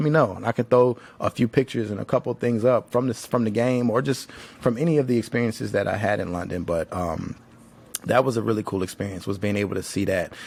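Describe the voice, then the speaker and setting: A man talks at a very fast pace, his medium pitch varying in an ordinary way. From Tennessee, Nashville. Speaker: podcast host. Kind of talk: casual monologue. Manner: casual, filler-heavy.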